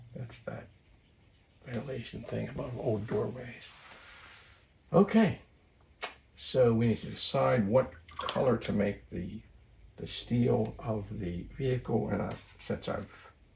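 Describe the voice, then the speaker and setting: A man talks fairly slowly, leaving long, frequent pauses, with noticeable noise behind him. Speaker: watercolor artist. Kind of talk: tutorial. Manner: voice drops when concentrating; halting.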